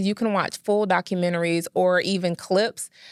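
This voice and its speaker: On a very clean recording with a silent background, a woman talks at a moderate pace and medium pitch, the sound dry and close with no echo. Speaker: librarian and podcast co-host. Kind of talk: tutorial walkthrough of library databases. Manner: clear articulation.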